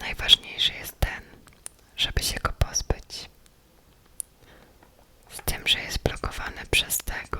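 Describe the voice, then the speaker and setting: A woman whispers in a calm tone at a very slow pace. Long, frequent pauses break it up, and background noise is noticeable. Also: big swings in loudness. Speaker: ASMR creator. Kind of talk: whispered ASMR gameplay narration. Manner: whispered, close, calm.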